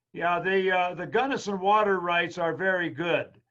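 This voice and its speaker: A man with a high pitch speaks amid audible room echo. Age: 80s+. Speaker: history professor giving a lecture. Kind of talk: Q&A after a lecture webinar. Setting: video call webinar.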